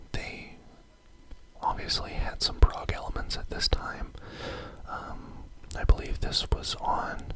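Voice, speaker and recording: Whispering at a fairly slow pace, the speaker leaves long, frequent pauses amid noticeable background noise. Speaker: ASMR host. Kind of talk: ASMR whispered record collection show-and-tell. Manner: whispered.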